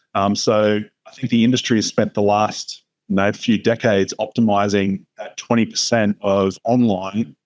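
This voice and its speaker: The speaker has an Australian accent. The intonation is monotone and flat. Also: man, fairly low pitch for a man, moderate pace. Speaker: retail media executive. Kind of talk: interview. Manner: many fillers, hesitant.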